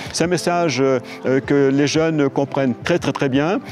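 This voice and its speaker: A man with a fairly high pitch talks while noticeable noise is heard behind him. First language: Creole (speaking French). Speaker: novelist. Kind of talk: interview. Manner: hesitant, many fillers.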